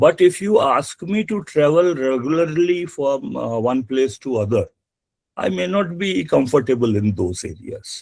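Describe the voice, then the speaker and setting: Speaking at a fairly slow pace, a man with a fairly high pitch makes very wide pitch swings. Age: 60s. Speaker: environmental auditor and webinar speaker. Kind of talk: webinar presentation. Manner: halting, many fillers.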